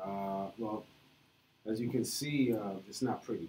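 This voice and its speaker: A man speaks very slowly in an American accent, his pitch fairly low with ordinary variation. His tone is dark and mellow. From New York. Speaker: meetup presenter, programmer. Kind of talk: live coding talk. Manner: halting, many fillers.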